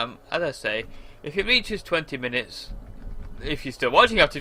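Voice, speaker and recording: With a British accent, a man speaks at a moderate pace in a bright, sharp tone with lively intonation. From England. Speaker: gamer. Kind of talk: gameplay commentary. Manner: casual, rambling with fillers. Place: home room.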